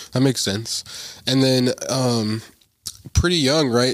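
At a fairly slow pace, an unremarkable speaking voice delivers its words with fairly even intonation. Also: man. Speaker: podcast interviewer. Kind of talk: casual interview.

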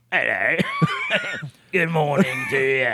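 In a put-on character voice, a man sounds raspy and high-pitched. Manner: creepy, feigning pleasantness.

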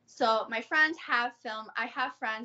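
A woman with an American accent and an unremarkable speaking voice talks at a moderate pace, her pitch fairly high with ordinary variation. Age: 30s. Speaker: adult content creator. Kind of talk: casual interview.

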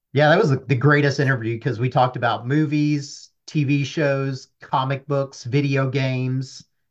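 A man talks at a moderate pace in a fairly high pitch, with a plain, everyday voice. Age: 30s. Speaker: data analyst. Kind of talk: casual chat. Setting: at home.

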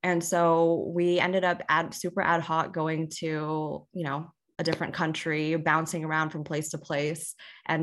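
Against a quiet background, a woman with an American accent speaks in a very deep, low pitch with fairly even intonation. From Houston, Texas. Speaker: podcast co-host, tech sales worker. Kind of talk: casual chat.

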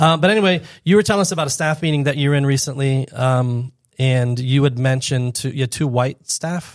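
A man with an American accent and an unremarkable speaking voice talks at a fairly quick pace with ordinary pitch variation. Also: fairly high pitch for a man. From Florida, Fort Lauderdale. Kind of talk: casual chat.

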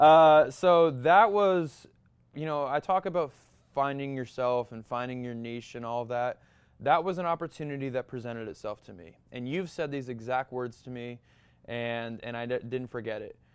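Against a quiet background, a man with an American accent speaks in a plain, everyday voice at a moderate pace and medium pitch, with ordinary pitch variation and big swings in loudness. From Massachusetts. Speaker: model and actor. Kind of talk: interview, casual chat.

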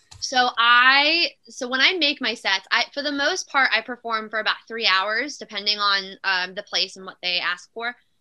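A woman with a fairly high pitch speaks at a moderate pace with lively intonation, hardly any pauses, and big swings in loudness. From South Philadelphia, raised in South Jersey. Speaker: country singer. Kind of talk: interview. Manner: animated.

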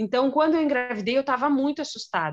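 Here a woman is talking. The rise and fall of her pitch is ordinary. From Brazil. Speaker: teacher. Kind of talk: casual interview.

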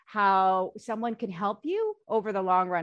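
A woman has a normal speaking voice with a fairly high pitch and ordinary pitch variation. The background is quiet. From US, Korean American household. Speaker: bond fund manager. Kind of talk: panel discussion.

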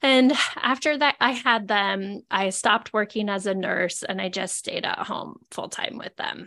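A woman's medium-pitched voice with vocal fry and an American accent. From Idaho, US. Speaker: nurse and sobriety podcast host. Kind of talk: casual interview chat.

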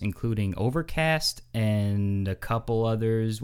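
Speaking at a medium pitch, a man talks with a New York accent. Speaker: podcast host.

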